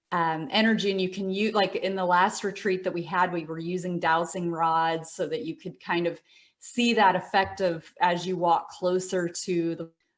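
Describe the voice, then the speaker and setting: Speaking in an American accent, the voice keeps a moderate pace with hardly any pauses. The intonation is fairly even. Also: woman, medium pitch for a woman. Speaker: meditation teacher. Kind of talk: interview. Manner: hesitant, many fillers.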